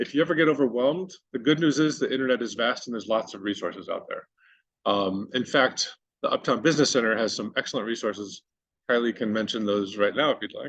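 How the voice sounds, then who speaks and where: A man speaks at a very fast pace with ordinary pitch variation. The background is quiet. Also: medium pitch for a man. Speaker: digital marketing presenter. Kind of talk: workshop presentation. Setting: workshop with live and virtual audience.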